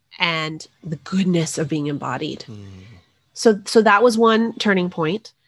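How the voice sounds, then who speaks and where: With an American accent, a woman speaks at a fairly slow pace in a plain, everyday voice, her pitch fairly low and her intonation lively, her loudness swinging widely on a very clean recording with a silent background. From New Mexico, US. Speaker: author. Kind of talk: interview.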